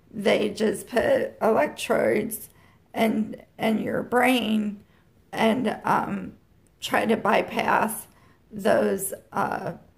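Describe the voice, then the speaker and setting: Her fairly high, somewhat breathy voice moves very slowly, with very even loudness and a monotone, flat intonation. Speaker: vlogger with chronic illness. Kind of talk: personal vlog. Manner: halting.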